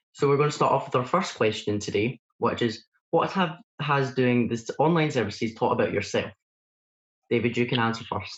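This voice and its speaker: A man talks in a somewhat breathy voice with a Scottish accent. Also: medium pitch for a man, ordinary pitch variation, very even loudness. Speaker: church volunteer video editor. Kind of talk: casual Q&A chat. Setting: recorded at home for online service. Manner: fast.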